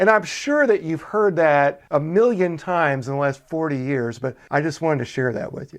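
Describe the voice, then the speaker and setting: A man with an American accent talks in a plain, everyday voice, fairly high in pitch for a man, with lively intonation. He keeps a moderate pace with hardly any pauses. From US South (Chattanooga, Tennessee), then Minnesota from 15. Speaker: podcast host. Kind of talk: podcast interview.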